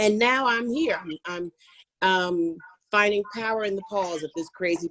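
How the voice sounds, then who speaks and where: A woman with an American accent and a plain, everyday voice speaks at a moderate pace with ordinary pitch variation. The sound is dry and close, with no echo. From US Northeast, Philadelphia. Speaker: fashion industry consultant. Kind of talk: webinar self-introduction. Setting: online video call.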